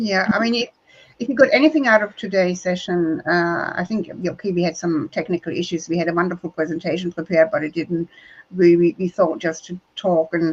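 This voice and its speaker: A woman with a German accent speaks at a fairly quick pace and fairly low pitch. Her pitch variation is ordinary, and the sound is dry and close with no echo. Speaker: diversity trainer. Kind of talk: live webinar conversation.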